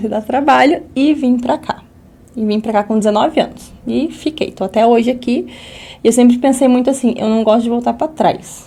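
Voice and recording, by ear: Her tone is dark and mellow. This woman speaks high in pitch. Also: ordinary pitch variation, moderate pace.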